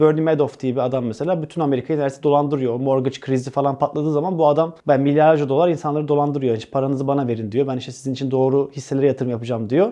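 A man talks very fast with hardly any pauses, in a fairly high pitch with fairly even intonation. His tone is dark and mellow, against a quiet background. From Turkey. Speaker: stand-up comedian. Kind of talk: interview.

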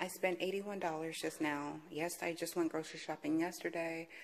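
Over light background noise, a woman talks at a moderate pace in a fairly low pitch with fairly even intonation. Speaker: mother vlogger. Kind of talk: casual vlog chat. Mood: playful, teasing.

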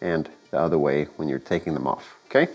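A man speaks with a slightly mellow tone.

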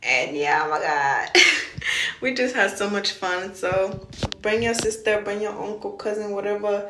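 Noticeable background noise sits behind a woman talking at a moderate pace with ordinary pitch variation. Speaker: vlogger. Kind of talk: casual vlog chat. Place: bathroom. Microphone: phone near.

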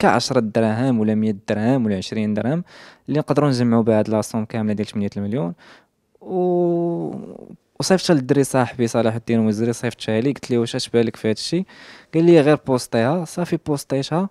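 A dark, mellow tone and lively intonation carry a fairly quick delivery, recorded dry with no echo. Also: man, quiet background. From Morocco, Casablanca. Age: 20s. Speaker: social media influencer; interviewee. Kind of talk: interview testimony. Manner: halting. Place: home room. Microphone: handheld.

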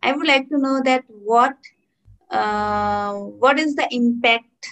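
Quiet background behind a woman's voice. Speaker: English conversation teacher. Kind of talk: casual chat. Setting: video call. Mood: friendly, smiling. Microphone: video call.

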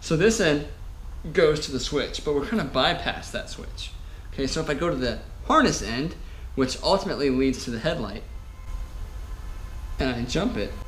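A man talks at a moderate pace with long, frequent pauses. Light background noise is present. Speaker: motorcycle repair YouTuber. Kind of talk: tutorial. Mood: self-mocking, relaxed. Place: garage. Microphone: camera far.

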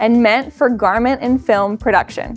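A woman speaks at a high pitch. Faint music plays in the background. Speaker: presenter. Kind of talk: product overview presentation. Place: shop.

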